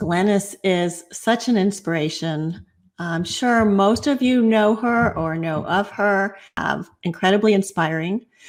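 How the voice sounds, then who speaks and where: A woman speaks at medium pitch in a normal speaking voice. Her pitch variation is ordinary, and her pace is fairly slow. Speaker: podcast host. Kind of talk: show introduction.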